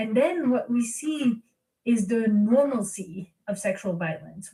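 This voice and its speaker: A somewhat breathy woman's voice, fairly high in pitch, at a fairly slow pace. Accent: French. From France. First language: French. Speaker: philosopher. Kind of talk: interview.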